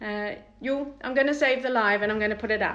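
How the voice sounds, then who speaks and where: A woman with a New Zealand accent. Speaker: salon owner demonstrating waxing products. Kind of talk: live product demo and tutorial. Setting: Instagram live stream. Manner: fast; casual, filler-heavy.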